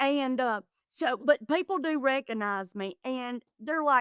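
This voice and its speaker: A woman with an American accent talks fairly slowly and with lively intonation, in a dry, close sound with no echo. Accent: Southern US, gets thick when excited. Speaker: comedian and reality TV contestant. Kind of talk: podcast interview, casual chat. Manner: animated.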